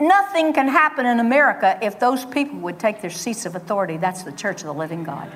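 Over noticeable background noise, a woman with a fairly high pitch talks very fast with hardly any pauses, her pitch swinging very widely and her loudness varying greatly. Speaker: guest minister. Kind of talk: sermon. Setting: church.

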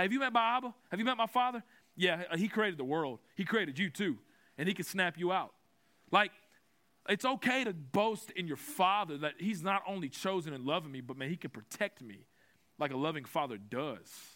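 The voice is raised and projected, bright and sharp in tone with lively intonation, on a very clean recording with a silent background. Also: man, high pitch for a man, moderate pace. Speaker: preacher. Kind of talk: sermon. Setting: conference with audience.

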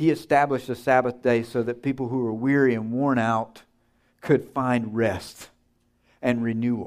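A man with a medium-pitched, monotone delivery and a slight Southern US accent, on a very clean recording with a silent background. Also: moderate pace. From US South. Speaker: seminary teacher, guest preacher. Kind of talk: sermon. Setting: church. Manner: humorous, conversational.

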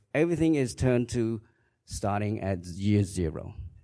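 A man's dark, mellow voice with a Khmer accent on a very clean recording with a silent background. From Cambodia. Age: 50s. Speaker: church member giving testimony. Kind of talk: testimony. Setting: church.

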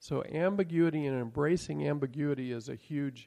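A man's fairly high pitch and dark, mellow tone, with ordinary pitch variation, against a quiet background in a dry, close sound with no echo. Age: old. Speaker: Bible teacher. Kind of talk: Bible class teaching.

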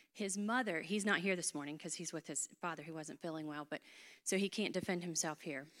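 In a North Carolina accent, the speaker talks at a fairly quick pace with ordinary pitch variation. The recording is very clean, with a silent background. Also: woman, fairly low pitch for a woman. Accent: Southern US, North Carolina. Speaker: church member, ministry leader. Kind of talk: casual interview on stage.

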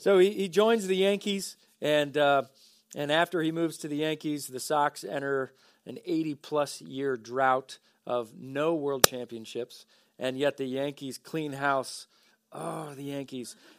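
On a very clean recording with a silent background, a man with an unremarkable speaking voice talks at a fairly slow pace, his fairly high pitch varying in an ordinary way amid big swings in loudness. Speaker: pastor. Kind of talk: sermon. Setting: church.

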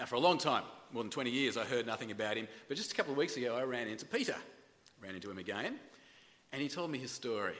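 Very fast and with ordinary pitch variation, a man speaks in an Australian accent at a medium pitch. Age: 40s. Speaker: pastor. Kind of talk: sermon. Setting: church. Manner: halting.

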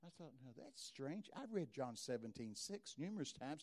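A dark, mellow tone with lively intonation, in a Texas accent. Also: man. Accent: Texas drawl. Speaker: preacher. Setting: stage, church gathering. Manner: loud, fast talker.

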